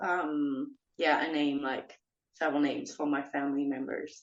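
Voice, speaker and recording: Ordinary pitch variation from a woman, at a fairly slow pace. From northeast France. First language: French. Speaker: professional wrestler. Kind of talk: interview.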